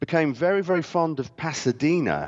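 A man speaks with a British accent. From Britain. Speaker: historian and author. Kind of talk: interview. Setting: video call.

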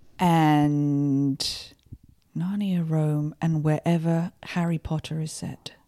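With an American accent, a woman speaks very slowly in a very deep, low pitch, her tone dark and mellow and her intonation monotone and flat. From Kent, southeast England. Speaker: actress. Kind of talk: casual chat.

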